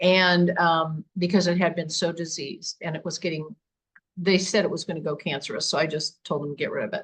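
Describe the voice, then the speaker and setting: A woman speaks at a moderate pace in a fairly low, somewhat breathy voice with fairly even intonation. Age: 70s. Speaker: paranormal investigator. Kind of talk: interview.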